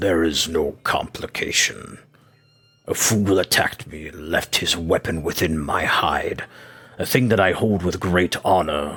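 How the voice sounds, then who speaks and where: A man uses a put-on character voice, very deep and low in pitch. He growls at a moderate pace. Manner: proud, defiant.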